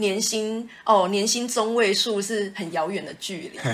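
Noticeable background noise fills the clip. The woman speaks at a moderate pace. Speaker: podcast co-host. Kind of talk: casual chat.

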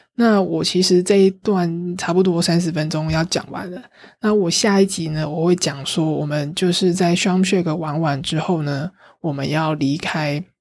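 Intonation stays fairly even while the delivery keeps a moderate pace. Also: woman, fairly low pitch for a woman. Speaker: travel podcast host. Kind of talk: casual solo travel talk. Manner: livelier, normal chatting pace.

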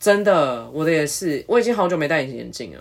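A woman's very deep, low voice sweeps through very wide pitch swings. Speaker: podcast co-host. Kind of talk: casual chat.

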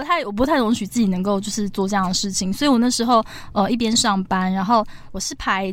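Fairly high in pitch with ordinary variation, a woman talks at a fairly quick pace. She has a normal speaking voice. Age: 30s. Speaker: cancer survivor and author. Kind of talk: interview.

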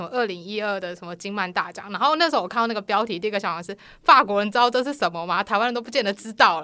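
A woman talks at a very fast pace with ordinary pitch variation. Her tone is bright and sharp, and the recording is very clean with a silent background. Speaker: comic artist. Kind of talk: casual chat.

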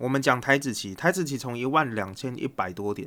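On a very clean recording with a silent background, a man speaks with a Taiwanese accent at medium pitch. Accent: Taiwanese Mandarin. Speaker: investing podcast host. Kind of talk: solo podcast monologue. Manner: casual with many fillers.

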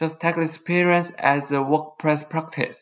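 Moderate-paced speech in a Taiwanese accent. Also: very clean recording, silent background. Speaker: podcast host, college student. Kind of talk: scripted monologue.

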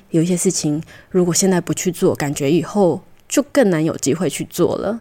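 A woman with a Taiwanese accent speaks at a moderate pace in a dark, mellow tone, her medium pitch showing ordinary variation, in a very clean recording with a silent background. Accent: Taiwanese Mandarin. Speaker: podcast co-host, traveler. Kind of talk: casual interview. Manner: hesitant, many fillers.

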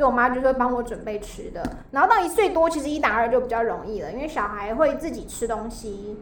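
Over noticeable background noise and audible room echo, a woman talks at a very fast pace. Her high pitch moves with lively intonation. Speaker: high school teacher. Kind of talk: casual chat.

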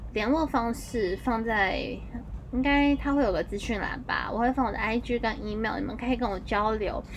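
Her intonation is lively and her pitch fairly high. The woman keeps a moderate pace. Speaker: podcast host. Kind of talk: casual monologue.

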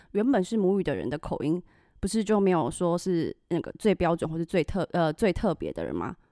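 Her intonation is lively, and this woman speaks at a medium pitch with a dark, mellow tone. The very clean recording has a silent background and a dry, close sound with no echo. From Taiwan. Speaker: podcast host. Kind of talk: casual chat.

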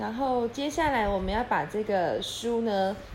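Someone reads in an unforced voice. The pitch moves up and down in an ordinary way.

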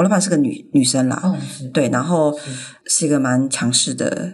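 A woman's very deep, low voice with very wide pitch swings and audible room echo. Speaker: graphic designer. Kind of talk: casual interview.

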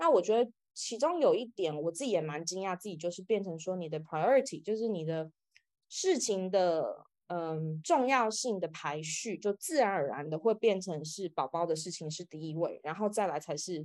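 A woman has an ordinary speaking voice at medium pitch, with lively intonation. She keeps a moderate pace over a quiet background. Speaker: author. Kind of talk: interview.

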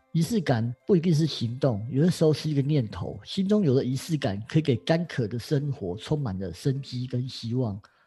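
Over music in the background, a man talks at a moderate pace with hardly any pauses. His intonation is lively and his pitch is medium. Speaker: astrology teacher. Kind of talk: casual chat.

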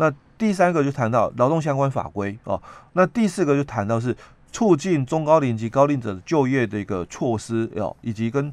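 A man talks with a plain, everyday voice at a fairly high pitch and a moderate pace. His intonation is lively. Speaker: labor relations expert. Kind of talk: explanatory talk on labor law. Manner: many filler particles.

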